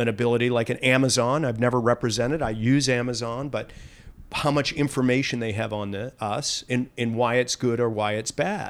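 A medium-pitched man with an American accent speaks in a monotone, flat intonation. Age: 60s. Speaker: lobbyist. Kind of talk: interview.

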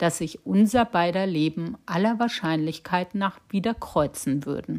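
A woman with a French accent, fairly low in pitch with ordinary pitch variation, on a very clean recording with a silent background. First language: French (speaking German). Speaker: podcast host. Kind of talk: scripted narration.

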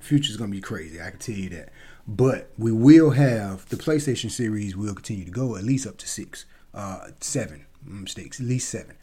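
On a very clean recording with a silent background, a somewhat breathy speaker talks at a fairly quick pace in an animated tone, with lively intonation and big swings in loudness. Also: man, medium pitch for a man. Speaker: gaming podcaster. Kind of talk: casual solo monologue. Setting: home recording via podcast app. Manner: fast.

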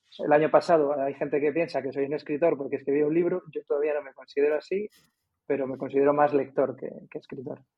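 A man talks at a fairly quick pace with long, frequent pauses and big swings in loudness. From Madrid, Spain. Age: 50s. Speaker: basketball coach and author. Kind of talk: casual interview.

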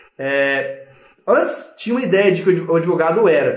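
A man speaks in a high voice with very wide pitch swings, and the room echo is audible. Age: 30s. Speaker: lawyer and startup law educator. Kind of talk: live stream talk to viewers. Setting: live stream.

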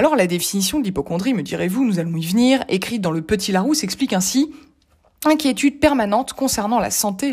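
A woman speaks in a somewhat breathy voice at a fairly quick pace. Her intonation is lively. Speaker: columnist. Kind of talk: reading aloud. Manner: formal.

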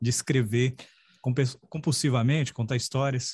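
At a moderate pace, a man talks in a medium-pitched, somewhat breathy voice with fairly even intonation, in a dry, close sound with no echo. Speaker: podcast host and writing mentor. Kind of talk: interview.

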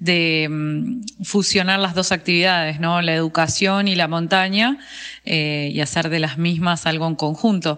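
Her pitch fairly low, a woman speaks at a fairly slow pace with fairly even intonation. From Argentina, Bariloche (Patagonia). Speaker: mountain guide and ski instructor. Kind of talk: interview. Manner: hesitant, many fillers.

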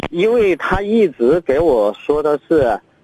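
At a very slow pace, a man talks with lively intonation in a dry, close sound with no echo. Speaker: caller. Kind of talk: phone-in call. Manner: halting.

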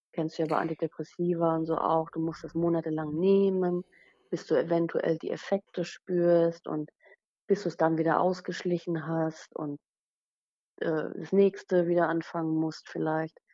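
A woman with a fairly low pitch speaks at a fairly slow pace in a monotone, flat intonation. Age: 30s. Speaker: blogger with chronic illness. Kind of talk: casual interview. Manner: halting, many fillers.

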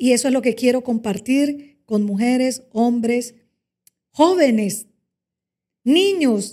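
With a dark, mellow tone, a woman speaks in a high voice at a fairly slow pace with ordinary pitch variation. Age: 40s. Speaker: communications director. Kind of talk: interview testimony.

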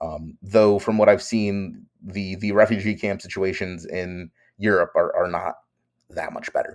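At a fairly slow pace, a man talks with big swings in loudness. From New York. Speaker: journalist. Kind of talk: interview. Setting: video call.

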